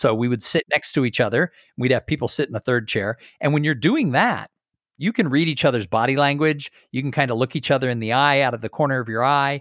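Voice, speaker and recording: A man with a General American accent speaks at a medium pitch with ordinary pitch variation. The very clean recording has a silent background and a dry, close sound with no echo. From Southern California. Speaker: speaker and podcast host. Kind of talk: interview conversation. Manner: conversational.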